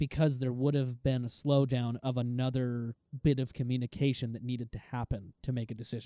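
A dark, mellow tone runs at a fairly quick pace in a flat monotone with hardly any pauses, in a dry, close sound with no echo. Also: man, medium pitch for a man. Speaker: car podcast co-host. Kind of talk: casual chat. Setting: remote call.

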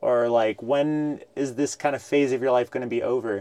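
A normal speaking voice from a man, with fairly even intonation. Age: 30s. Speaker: podcast host. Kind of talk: interview. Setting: studio with cameras and mics.

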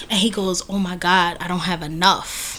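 Over noticeable background noise, a woman talks at a medium pitch with an American accent. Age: 30s. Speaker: podcast co-host. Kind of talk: casual chat.

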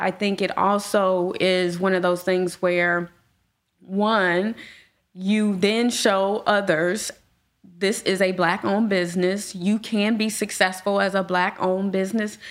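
A woman with an American accent and a medium pitch speaks fairly slowly in a monotone, flat intonation, her loudness very even. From Gary, Indiana. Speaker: property management business owner. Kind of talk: casual chat.

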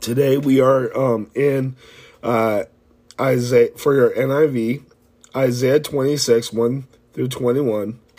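At a fairly slow pace, a man of medium pitch talks with monotone, flat intonation. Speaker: Bible reading host. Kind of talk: reading aloud. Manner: halting.

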